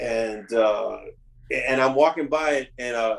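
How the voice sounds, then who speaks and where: A man speaks in a New York accent at medium pitch. His pace is fairly slow, with ordinary pitch variation. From New York, Bronx and Westchester. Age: 60s. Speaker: touring drummer. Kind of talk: casual interview chat.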